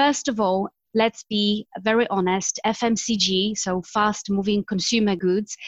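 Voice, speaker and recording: Speaking at a fairly slow pace, a woman with a Polish accent is recorded with a dry, close sound and no echo. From Poland. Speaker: marketing executive. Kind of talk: interview.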